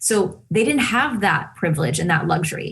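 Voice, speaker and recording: A woman's somewhat breathy voice at a moderate pace, with lively intonation. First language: Spanish. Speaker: television host. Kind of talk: interview conversation.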